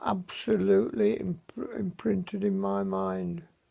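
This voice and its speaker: A man with an English accent at a very slow pace. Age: 70s. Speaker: vlogger. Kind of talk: personal video diary. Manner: halting.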